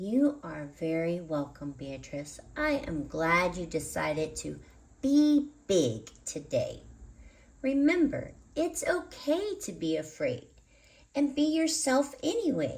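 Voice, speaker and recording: A put-on character voice, female-sounding with a gentle tone, moves at a fairly slow pace. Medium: read story. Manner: gentle, encouraging.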